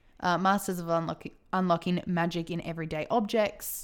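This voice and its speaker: This is a woman speaking. Her pitch is medium. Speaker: podcast host. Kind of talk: casual chat. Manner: loud.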